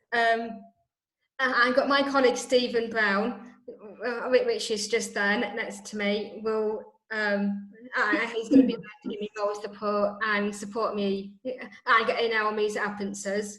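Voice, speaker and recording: A woman's fairly high, flat monotone at a fairly slow pace, with audible room echo. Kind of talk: presentation in an online meeting. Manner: halting, stuttering.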